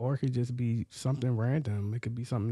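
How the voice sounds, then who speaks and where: This man has a dark, mellow tone and a medium pitch, speaking with an American accent. His intonation stays fairly even. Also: very clean recording, silent background. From New York (Queens, Long Island). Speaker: therapist and entrepreneur. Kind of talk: casual chat.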